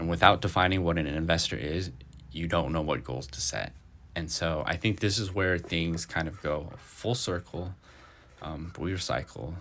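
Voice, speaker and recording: Marked by vocal fry, a man's very deep, low voice shows ordinary pitch variation. He keeps a moderate pace. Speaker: finance podcaster. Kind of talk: reading notes aloud with casual commentary. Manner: halting, stuttering.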